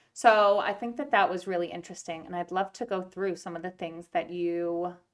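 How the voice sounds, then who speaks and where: The woman's pitch is medium and her intonation fairly even as she talks at a moderate pace. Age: 30s. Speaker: podcast host, children's book author and educator. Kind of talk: casual interview chat with her mother. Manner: loud.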